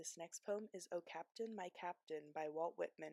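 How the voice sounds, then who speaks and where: Soft-spoken delivery at a very slow pace, with fairly even intonation and a dry, close sound with no echo. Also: woman. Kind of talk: ASMR poetry reading.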